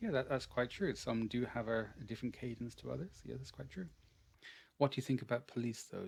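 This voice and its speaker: Talking at a very fast pace, a man with an Irish accent shows vocal fry. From Ireland. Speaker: English teacher. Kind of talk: online language class.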